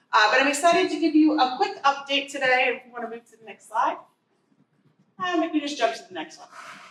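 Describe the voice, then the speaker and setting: Loud and high-pitched, a woman speaks with ordinary pitch variation. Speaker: transportation agency planner. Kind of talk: presentation. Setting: community meeting with audience.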